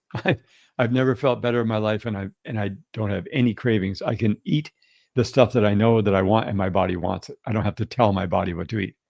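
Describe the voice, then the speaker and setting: A man with a Canadian accent talks at a very fast pace. His pitch is fairly low, with ordinary variation. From Canada. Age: 60s. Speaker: health and wellness guest. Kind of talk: podcast interview.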